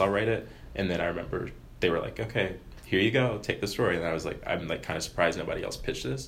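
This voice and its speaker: A man talks at a very fast pace. There is audible room echo. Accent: American. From US, Maryland. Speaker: student newspaper editor. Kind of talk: interview. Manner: casual, filler-heavy.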